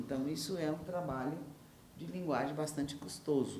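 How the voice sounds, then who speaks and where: A woman speaks in a room with audible echo, and clear background noise is present too. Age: 70s. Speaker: novelist. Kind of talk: interview. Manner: halting.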